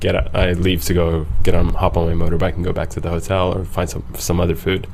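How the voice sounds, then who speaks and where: Over noticeable background noise and audible room echo, a man talks with a very deep, low pitch and ordinary pitch variation. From Egyptian background. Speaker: traveller, podcast guest. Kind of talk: casual interview chat. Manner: animated storytelling.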